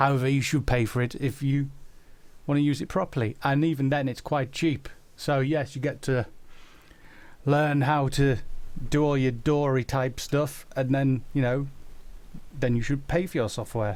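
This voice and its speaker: Speaking at a moderate pace with long, frequent pauses, a man with a Yorkshire accent has a fairly high pitch, fairly even intonation and very even loudness in a very clean recording with a silent background. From South Yorkshire, England (Doncaster). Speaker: animator and musician answering viewer questions. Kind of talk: live stream Q&A chat.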